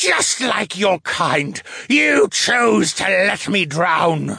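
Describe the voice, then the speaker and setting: In a put-on character voice, a man shouts very slowly with a high, breathy, raspy pitch for a man. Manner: wailing, accusing.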